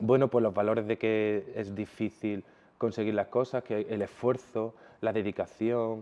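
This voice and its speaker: A man with a medium-pitched voice talks fairly slowly in a monotone, flat intonation. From Jaén, Andalusia, Spain. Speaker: fashion designer. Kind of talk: interview answer.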